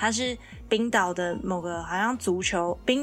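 Music in the background behind a woman speaking at a medium pitch. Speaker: podcast co-host. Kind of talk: casual chat.

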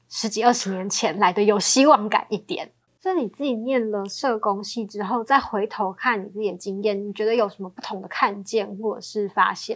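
A normal speaking voice, a woman's, fairly high and fairly quick, with hardly any pauses, ordinary pitch variation, and big swings in loudness. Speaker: podcast host. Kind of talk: interview; scripted show introduction.

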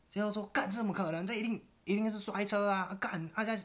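Clear background noise runs through the clip. The talking moves along rather quickly. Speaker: podcast co-host. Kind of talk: casual chat.

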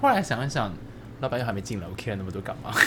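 Audible room echo around a man's voice at a medium pitch, with ordinary pitch variation. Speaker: podcast co-host. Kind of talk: casual chat.

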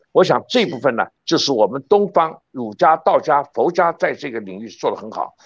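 A man with a fairly high voice and vocal fry talks at a moderate pace with hardly any pauses, his pitch swinging very widely and his loudness shifting a lot. The sound is dry and close with no echo, over a quiet background. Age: 70s. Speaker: professor. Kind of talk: interview. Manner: fluent, unscripted.

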